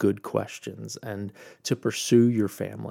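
A man speaks fairly slowly with fairly even intonation in an ordinary speaking voice. The recording is very clean, with a silent background. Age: 30s. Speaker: podcast host and founder. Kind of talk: solo podcast monologue.

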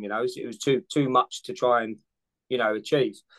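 With a London accent, a man speaks with ordinary pitch variation in a dry, close recording with no echo. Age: 40s. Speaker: firefighter and amateur triathlete. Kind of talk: casual interview chat.

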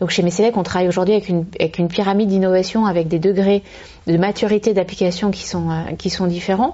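Over noticeable background noise, a woman talks very fast in a monotone, flat voice. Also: medium pitch for a woman. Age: 30s. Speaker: company managing director. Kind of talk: interview. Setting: at her company premises.

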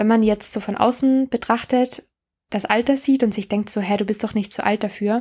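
Over a very clean recording with a silent background, a woman speaks in a fairly high pitch with a dark, mellow tone and fairly even intonation. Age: 20s. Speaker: podcast host. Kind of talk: casual monologue. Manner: halting.

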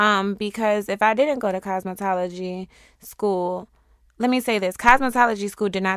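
A woman's normal speaking voice with an American accent, medium pitch, fairly even intonation, fairly quick pace and big swings in loudness, on a very clean recording with a silent background. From Syracuse, New York. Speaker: lash tech and hairstylist. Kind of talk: casual interview.

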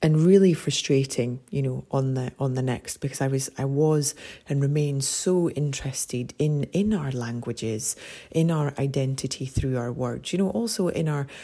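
Speaking with a Scottish accent at a moderate pace, a woman uses a very deep, low pitch with ordinary pitch variation. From Scotland. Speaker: podcast host. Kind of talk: casual monologue. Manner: warm, gentle.

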